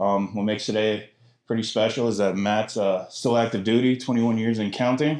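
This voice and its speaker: A man's unremarkable speaking voice, very even in loudness, at a fairly quick pace. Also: medium pitch for a man. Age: 30s. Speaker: podcast host, military veteran. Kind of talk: casual chat.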